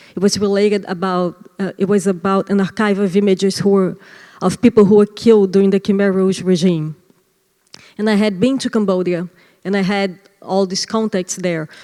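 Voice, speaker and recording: A woman speaks at a moderate pace and medium pitch in a Brazilian accent. Her intonation is monotone and flat, with a dark, mellow tone. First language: Portuguese. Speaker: artist. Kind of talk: interview. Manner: halting.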